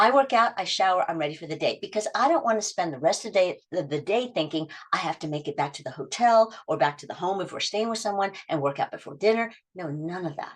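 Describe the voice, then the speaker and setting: A woman speaks very fast at a medium pitch, her voice making very wide pitch swings. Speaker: habit coach. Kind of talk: workshop talk.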